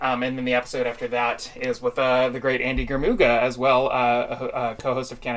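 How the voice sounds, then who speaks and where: A man talking at a very fast pace with hardly any pauses, medium-pitched and flat in intonation, over noticeable background noise. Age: 30s. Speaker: podcast host and puppetry enthusiast. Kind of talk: casual chat. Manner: halting, many fillers.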